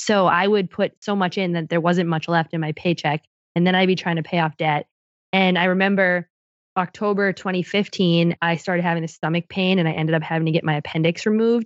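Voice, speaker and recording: Speaking at a fairly quick pace, a woman has an unremarkable speaking voice with a fairly low pitch and fairly even intonation. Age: 20s. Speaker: finance blogger and podcaster. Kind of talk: casual interview chat.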